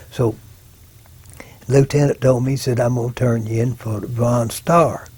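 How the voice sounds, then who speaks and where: Somewhat breathy, a man with an Arkansas accent speaks at a moderate pace with fairly even intonation. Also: medium pitch for a man. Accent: Southern US, Arkansas. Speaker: war veteran. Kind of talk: oral history interview. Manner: halting.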